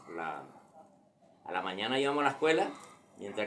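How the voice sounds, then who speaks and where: A man is speaking. His intonation is lively. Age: 60s. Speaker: grandfather telling a local legend. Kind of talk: personal storytelling. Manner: halting.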